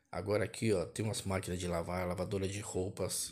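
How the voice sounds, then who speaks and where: Upbeat in tone, a man with a fairly low pitch and a somewhat breathy voice talks at a moderate pace. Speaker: vlogger showing store prices. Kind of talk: casual price-tour commentary. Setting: walking through a supermarket. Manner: repetitive, upbeat hype with stock phrases like 'olha aí, ó' and 'amigos e amigas'; casual, colloquial grammar, rattles off numbers. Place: shop. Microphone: phone near.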